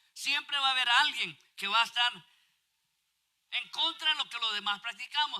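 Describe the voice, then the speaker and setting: At a moderate pace, a man talks in a raised, projected voice with a bright, sharp tone. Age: 60s. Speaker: pastor. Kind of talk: sermon.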